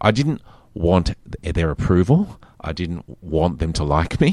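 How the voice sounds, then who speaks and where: Against a quiet background, a man with a very deep, low voice and vocal fry speaks at a fairly slow pace with very wide pitch swings. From Macau, then Perth, Australia. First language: Mandarin. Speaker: film and television producer and writer. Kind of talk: interview, personal storytelling. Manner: reflective, conversational.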